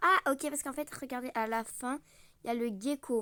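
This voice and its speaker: A woman speaks in a high voice with lively intonation and a bright, sharp tone, recorded very cleanly against a silent background with a dry, close sound and no echo. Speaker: gaming youtuber. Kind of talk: gameplay commentary. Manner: animated.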